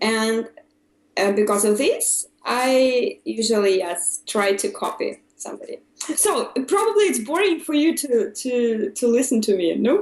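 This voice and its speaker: Very wide pitch swings in a Russian accent at a fairly slow pace. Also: woman, high pitch for a woman. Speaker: English learner. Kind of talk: casual chat. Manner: halting, many fillers.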